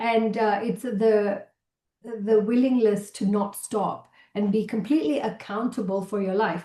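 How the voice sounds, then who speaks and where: A woman with a Malaysian accent speaks at a fairly slow pace in a fairly high, somewhat breathy voice with a dark, mellow tone and ordinary pitch variation. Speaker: keynote speaker, entrepreneur. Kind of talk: interview conversation.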